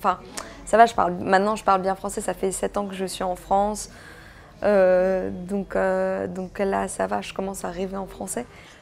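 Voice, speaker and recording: A woman with a slight non-native accent speaks at a fairly slow pace, with big swings in loudness. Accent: slight foreign accent in French. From Belgium (Brussels), Greek family. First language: Greek (speaking French). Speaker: actress. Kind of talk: interview. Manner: hesitant, many fillers.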